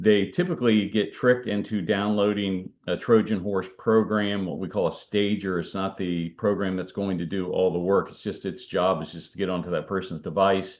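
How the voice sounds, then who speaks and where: A man with a fairly low pitch keeps his intonation fairly even. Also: hardly any pauses. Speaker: cybersecurity expert and author. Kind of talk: webinar presentation. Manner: fast.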